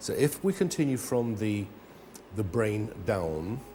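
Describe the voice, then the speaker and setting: A somewhat breathy man's voice, dark and mellow in tone, with lively intonation. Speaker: health product advocate. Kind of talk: studio interview.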